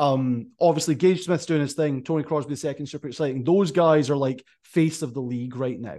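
Against a quiet background, someone with a Scottish accent talks at a fairly quick pace with hardly any pauses, a dark, mellow tone and ordinary pitch variation. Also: man, fairly high pitch for a man. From Scotland. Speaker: podcast host. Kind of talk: casual interview.

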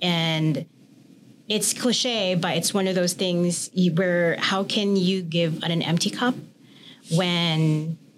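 Speaking very slowly with long, frequent pauses, a woman keeps a very even loudness, a fairly low pitch and ordinary pitch variation. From Philippines. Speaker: massage therapist. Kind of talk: casual interview.

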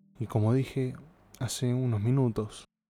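Relaxed and dark, mellow in tone, a man speaks with fairly even intonation. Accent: Rioplatense. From Argentina. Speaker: podcast host. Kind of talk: casual monologue.

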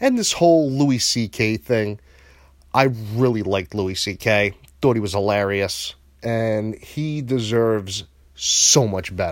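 At a fairly slow pace with ordinary pitch variation, the voice comes through in a very clean recording with a silent background. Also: man, medium pitch for a man. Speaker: online shock-humor podcaster. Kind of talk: profane, provocative angry rant delivered straight to camera. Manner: aggressive and expletive-laden, spitting out insults with mounting venom; loose, rambling and hesitant, with frequent filler sounds.

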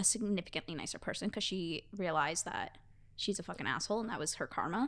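Lively intonation runs through speech at a very fast pace, captured in a very clean recording with a silent background. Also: woman. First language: not English. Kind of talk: casual chat, tarot reading aloud.

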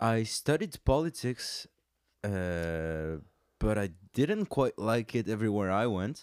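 On a very clean recording with a silent background, a man with a fairly low pitch talks at a very slow pace. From France. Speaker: saxophonist. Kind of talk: casual chat.

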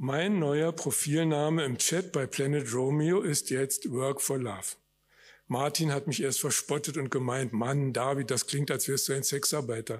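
An ordinary speaking voice from a man, fairly high in pitch and fairly slow, with ordinary pitch variation and very even loudness, on a very clean recording with a silent background. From Germany, West Berlin. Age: 60s. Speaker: author. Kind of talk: reading aloud. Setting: stage with audience.

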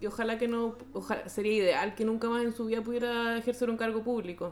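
A woman speaks with a Chilean accent at a fairly high pitch, in monotone, flat intonation. There is noticeable background noise. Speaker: podcast host. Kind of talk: casual chat.

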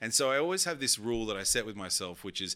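Bright, sharp-toned man's voice at medium pitch, with an Australian accent. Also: very clean recording, silent background. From Sydney, Australia. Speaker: keynote speaker and DJ. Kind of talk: casual chat.

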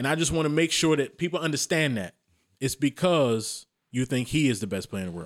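A man with an American accent talks at a fairly quick pace in a normal speaking voice, his fairly high pitch carrying lively intonation in a dry, close sound with no echo. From Maryland, US. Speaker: podcast host. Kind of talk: casual chat.

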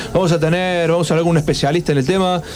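A man with a high voice speaks over noticeable background noise. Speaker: radio host. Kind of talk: casual chat.

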